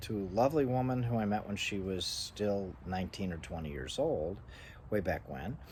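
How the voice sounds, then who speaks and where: A man speaks at a moderate pace in a fairly low, somewhat breathy voice. His intonation is lively. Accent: American. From US East Coast. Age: 60s. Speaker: vlogger. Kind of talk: personal monologue. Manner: halting.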